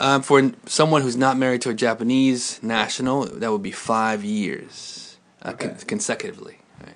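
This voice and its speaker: At a moderate pace, a man with a Mid-Atlantic accent talks at a medium pitch, using lively intonation and big swings in loudness. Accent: American, Mid-Atlantic. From US, Baltimore, Maryland. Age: 30s. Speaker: English teacher. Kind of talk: interview. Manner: halting.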